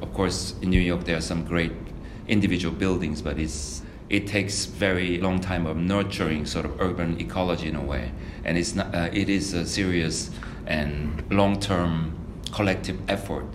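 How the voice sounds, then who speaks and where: A man's very deep, low voice in a Korean accent, at a moderate pace with ordinary pitch variation, over noticeable background noise. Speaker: architect. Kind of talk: reflective interview monologue. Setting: studio. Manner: halting with many fillers.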